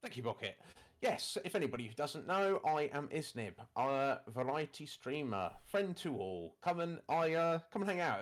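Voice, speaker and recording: At a moderate pace, a man with a British accent speaks at a fairly high pitch with very wide pitch swings. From UK. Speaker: variety streamer. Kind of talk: casual chat.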